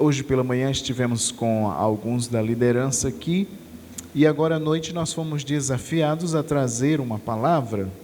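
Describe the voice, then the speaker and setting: Amid noticeable background noise and audible room echo, a man speaks at a fairly slow pace in a medium pitch. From Brazil, Natal (Rio Grande do Norte). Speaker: preacher. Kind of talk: sermon.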